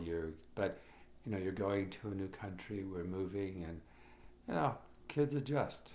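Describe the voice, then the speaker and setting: A man with a Chicago accent speaks at a fairly slow pace and a very deep, low pitch. Audible room echo surrounds his voice. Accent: Chicago American English. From Chicago, US (immigrated as a child in the 1950s). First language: Croatian. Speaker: immigrant telling family history. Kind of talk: personal oral history interview. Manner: halting, many fillers and restarts.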